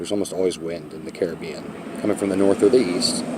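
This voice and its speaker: Over noticeable background noise, a man with a very deep, low pitch talks at a fairly quick pace. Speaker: sailboat vlogger. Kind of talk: casual vlog tutorial. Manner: fast.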